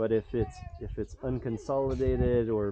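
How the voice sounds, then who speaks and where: Moderate-paced speech from a man, set against noticeable background noise. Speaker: water engineer giving site review. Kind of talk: on-site technical walkthrough.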